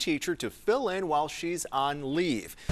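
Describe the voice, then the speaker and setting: Over music in the background, a man with an American accent speaks at a moderate pace and a fairly high pitch. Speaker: TV news anchor. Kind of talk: TV news anchor read.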